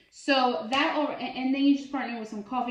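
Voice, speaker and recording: A woman's high-pitched voice rings with audible room echo. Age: 30s. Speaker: bariatric surgery vlogger. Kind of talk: casual product review vlog. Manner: chatty, filler words.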